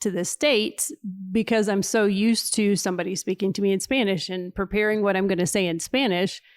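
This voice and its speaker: On a very clean recording with a silent background, a woman talks at a moderate pace and medium pitch with ordinary pitch variation. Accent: Kentucky. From Kentucky, US South. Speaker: missionary. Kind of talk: casual interview chat.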